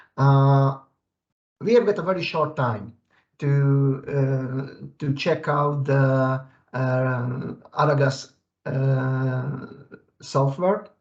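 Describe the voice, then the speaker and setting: At a very slow pace, with long, frequent pauses, a man speaks in a fairly high, somewhat breathy voice. His pitch variation is ordinary. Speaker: software engineer presenter. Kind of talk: webinar presentation. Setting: video call. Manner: halting, many fillers.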